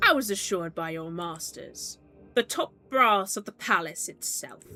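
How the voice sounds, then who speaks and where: In a put-on character voice, a woman talks at a moderate pace with a shrill, medium-pitched sound while faint music plays in the background. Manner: imperious, demanding.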